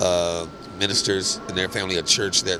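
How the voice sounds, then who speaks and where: Against noticeable background noise, a man with a very deep, low voice speaks at a moderate pace with fairly even intonation. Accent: American. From US Midwest, Kansas City. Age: 60s. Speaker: skating community founder. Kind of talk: interview life story. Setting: podcast. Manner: halting, many fillers.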